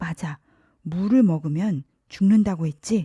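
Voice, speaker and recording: Using a put-on character voice at medium pitch, a woman speaks at a fairly slow pace. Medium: read story.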